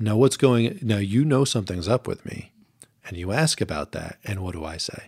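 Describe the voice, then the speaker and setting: This is an ordinary speaking voice at a moderate pace, with lively intonation. The recording is very clean, the background silent. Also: man, fairly low pitch for a man. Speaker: podcast co-host. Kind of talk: podcast discussion on marriage.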